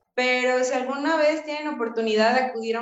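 This woman's high-pitched voice keeps a fairly even intonation. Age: 20s. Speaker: lawyer and activist. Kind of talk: casual chat.

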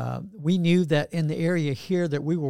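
A man's dark, mellow voice in a Southern US accent, on a very clean recording with a silent background. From US South, Georgia. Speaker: pastor. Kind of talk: casual interview. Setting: studio.

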